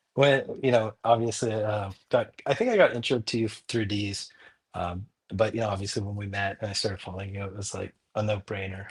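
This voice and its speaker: The recording is very clean with a silent background. A man speaks at a fairly low pitch, his loudness swinging widely. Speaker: crypto project co-founder. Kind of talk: podcast interview. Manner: animated.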